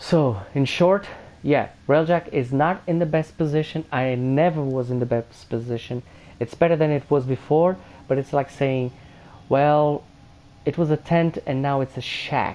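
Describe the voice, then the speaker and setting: Speaking at a fairly slow pace, a man with a non-native accent has a fairly high pitch, a dark, mellow tone and ordinary pitch variation. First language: not English. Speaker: gaming youtuber. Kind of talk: video game review commentary. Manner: halting, many fillers.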